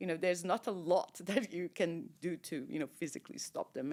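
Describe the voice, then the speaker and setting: Speaking with a Portuguese accent at a moderate pace, the voice shows vocal fry in a very clean recording with a silent background. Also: woman. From Portugal. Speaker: shipping industry executive. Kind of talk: interview. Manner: loud; animated.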